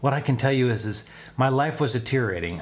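A man's somewhat breathy voice. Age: 40s. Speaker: weight-loss vlogger. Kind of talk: vlog monologue. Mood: upbeat, encouraging. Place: home room.

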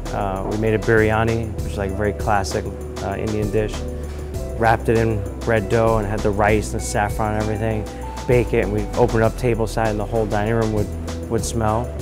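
Fairly quick speech over clear music in the background. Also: man. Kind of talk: interview answer. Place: cafe. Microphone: lapel.

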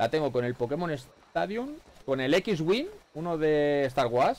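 A man's animated voice at a fairly slow pace, with ordinary pitch variation. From Spain. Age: 40s. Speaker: gaming streamer. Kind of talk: live gameplay commentary. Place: home room. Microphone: headset.

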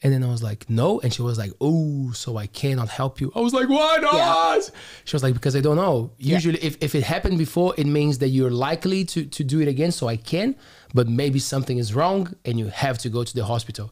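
Over a quiet background, the speaker talks at a very fast pace in a somewhat breathy voice with ordinary pitch variation. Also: man. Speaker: podcast host. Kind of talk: casual storytelling in a conversation. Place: studio. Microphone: studio mic.

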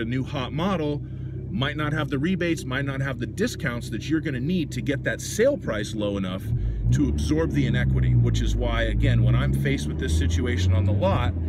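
Loud background noise runs behind a man speaking at a fairly quick pace. The sound is dry, with no echo. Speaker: car salesman. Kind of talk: casual vlog advice. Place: car. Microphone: phone near.

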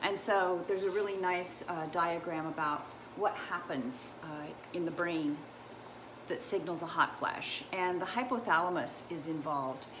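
With noticeable background noise behind her, a woman speaks at a moderate pace in a fairly low pitch with ordinary pitch variation. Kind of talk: casual educational livestream talk. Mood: warm, enthusiastic. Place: home room. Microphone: earbuds.

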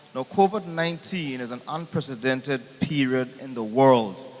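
A man talks with an Anguillan accent at a fairly high pitch. His pace is moderate, with ordinary pitch variation. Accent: Anguillan Caribbean English. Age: 60s. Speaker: audience member asking questions. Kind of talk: town hall question. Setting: town hall meeting.

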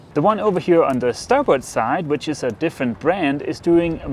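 With very wide pitch swings, a man speaks in a dry sound with no echo over light background noise. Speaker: sailing vlogger. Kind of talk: casual vlog chat. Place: boat. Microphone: lapel.

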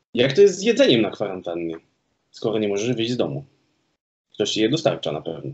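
A man with vocal fry and a medium pitch talks at a very fast pace, making very wide pitch swings and long, frequent pauses. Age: 30s. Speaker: podcast host. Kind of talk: casual interview. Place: home room. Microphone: video call.

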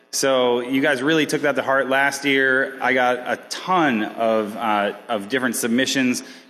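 Against light background noise, a man keeps a fairly even intonation at a moderate pace. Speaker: contests department head; conference organizer hosting ceremony. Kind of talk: closing ceremony speech. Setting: stage with audience. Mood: relaxed, joking. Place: hall. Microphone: podium.

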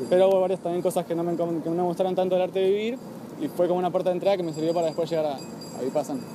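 Delivered at a very fast pace with fairly even intonation, the voice sounds dry with no echo amid noticeable background noise. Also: man, high pitch for a man. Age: 20s. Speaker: vegan activist speaker. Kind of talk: public talk. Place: garden. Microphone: phone near.

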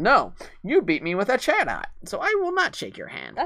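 Against clear background noise, a man uses a put-on character voice at an extremely high pitch, speaking at a moderate pace with big swings in loudness. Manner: defiant, sore.

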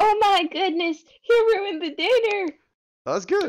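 A put-on character voice, female-sounding and extremely high in pitch, at a moderate pace. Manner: scolding.

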